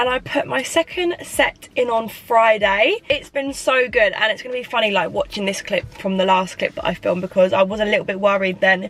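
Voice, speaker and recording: Her pitch fairly high and her intonation lively, a woman speaks at a moderate pace over noticeable background noise. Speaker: beauty and lifestyle vlogger. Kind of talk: casual vlog diary.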